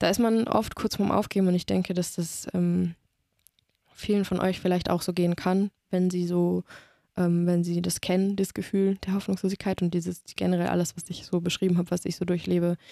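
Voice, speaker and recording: Her tone dark and mellow, a woman speaks at a fairly quick pace with a fairly low pitch and monotone, flat intonation in a very clean recording with a silent background. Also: dry, close sound with no echo. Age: 20s. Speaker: master's student in biosciences. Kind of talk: personal testimony in casual interview.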